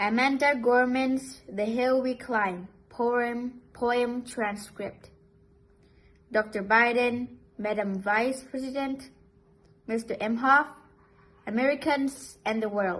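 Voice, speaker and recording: This speaker has a non-native accent and fairly even intonation. The pace is very slow, with long, frequent pauses. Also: woman, high pitch for a woman. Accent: non-native English, minor pronunciation slips. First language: not English. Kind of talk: poetry reading.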